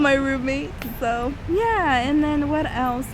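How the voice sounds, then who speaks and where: A woman with an American accent speaks in a high voice with ordinary pitch variation, amid audible room echo and noticeable background noise. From Northern California. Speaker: study abroad student vlogger. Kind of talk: casual vlog chat.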